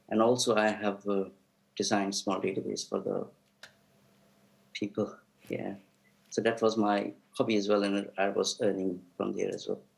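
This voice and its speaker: At a moderate pace, a man speaks in a fairly low, monotone, flat voice, with long, frequent pauses. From India. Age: 40s. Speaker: witness at a public inquiry. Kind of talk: witness testimony. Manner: halting.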